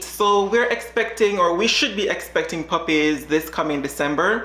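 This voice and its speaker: A woman with a Jamaican accent speaks at a medium pitch and a moderate pace. Noticeable background noise and audible room echo are present. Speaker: dog breeder. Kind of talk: reaction video chat.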